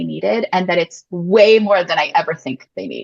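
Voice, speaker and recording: A woman talks at a medium pitch and a fairly slow pace. She has an unremarkable speaking voice. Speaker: adoptive mom. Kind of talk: interview conversation.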